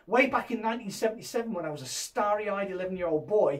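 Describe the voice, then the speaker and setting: Over noticeable background noise, a man with a high pitch talks at a very fast pace in an enthusiastic tone. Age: 50s. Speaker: VR YouTuber. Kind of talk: news roundup video.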